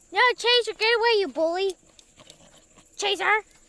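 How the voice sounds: A woman speaks at a moderate pace in a bright, sharp tone. Her pitch is extremely high, with ordinary pitch variation.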